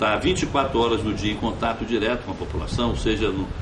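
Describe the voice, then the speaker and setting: Speech at a moderate pace with audible room echo and noticeable background noise. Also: man. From Brazil, Cabo Frio (Rio de Janeiro state). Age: 60s. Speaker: former mayor, politician. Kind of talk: interview. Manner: halting, frequent fillers and repetitions.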